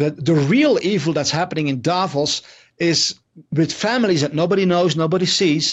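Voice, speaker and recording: Speaking at a moderate pace with a Dutch accent, a man with a high pitch keeps ordinary pitch variation and very even loudness. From Netherlands. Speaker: investigative journalist. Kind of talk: interview. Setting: video call.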